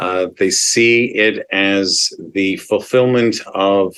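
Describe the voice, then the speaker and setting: Here a man speaks in a Canadian accent. His intonation stays fairly even. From Montreal, Quebec. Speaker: advocacy organization executive. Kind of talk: interview.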